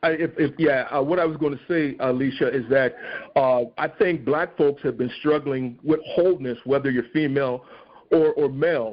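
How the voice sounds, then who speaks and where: A man with a normal speaking voice talks at a moderate pace, his pitch fairly high and its variation ordinary. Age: 60s. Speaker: stage actor. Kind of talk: podcast interview.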